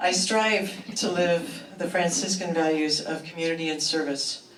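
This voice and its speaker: Noticeable background noise runs under this recording. A woman speaks fairly slowly in a very deep, low voice. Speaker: retired social worker. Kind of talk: personal introduction speech. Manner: hesitant.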